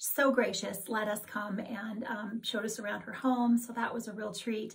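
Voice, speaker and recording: A woman talks at a moderate pace with fairly even intonation. The background is quiet. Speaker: cross-stitch vlogger. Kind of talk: casual vlog chat. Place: home room. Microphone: camera far.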